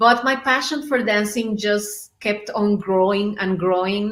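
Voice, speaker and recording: A woman talks with a Spanish accent. Her pace is fairly slow and her pitch variation ordinary. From Mexico. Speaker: belly dancer. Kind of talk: interview.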